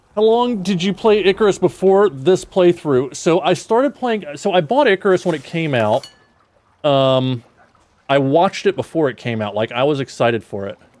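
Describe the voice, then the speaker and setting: A man's high voice in an American accent, at a moderate pace, with very wide pitch swings. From South Georgia, US. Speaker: gaming streamer. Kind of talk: casual livestream chat.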